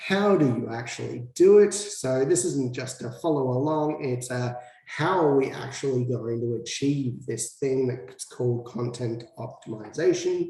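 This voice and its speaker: Amid noticeable background noise and audible room echo, a man with an Australian accent speaks at a fairly slow pace with hardly any pauses. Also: medium pitch for a man, ordinary pitch variation. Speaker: SEO consultant. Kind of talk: tutorial.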